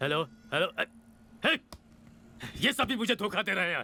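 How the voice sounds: In a put-on character voice, a man speaks at a moderate pace in a high pitch with a bright, sharp tone, lively intonation and vocal fry.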